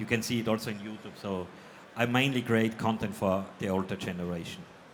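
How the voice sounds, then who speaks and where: In a room with audible echo, a man speaks at a fairly quick pace. His pitch is fairly low and his intonation fairly even. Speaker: electronics video creator. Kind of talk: panel discussion. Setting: stage with audience.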